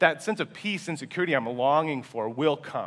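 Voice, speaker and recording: A man's animated voice, fairly high in pitch, with lively intonation. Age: 20s. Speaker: pastor. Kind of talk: sermon. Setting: church. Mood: earnest, humble. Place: church.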